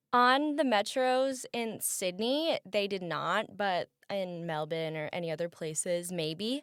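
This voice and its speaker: A woman with a Midwestern American accent speaks loudly at a very slow pace. Her pitch swings very widely in a very clean recording with a silent background. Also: medium pitch for a woman, hardly any pauses. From US Midwest. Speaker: college student. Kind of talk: casual interview. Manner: loud, expressive.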